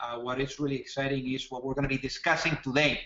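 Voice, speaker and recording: A man speaks with a Spanish accent. His pitch is fairly high and his pace fairly quick. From Spain. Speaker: startup co-founder and webinar presenter. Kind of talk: webinar presentation. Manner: halting, frequent fillers and repetitions.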